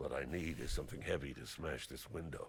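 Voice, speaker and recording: A man puts on a gruff character voice, speaking at a fairly quick pace over light background noise. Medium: video game.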